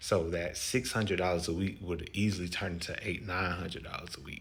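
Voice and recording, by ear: Speaking at a moderate pace, a man uses a low pitch and a fairly bright tone with fairly even intonation.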